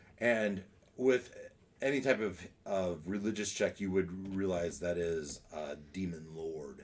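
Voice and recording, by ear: Low in pitch, a man speaks at a fairly slow pace. His pitch varies in an ordinary way.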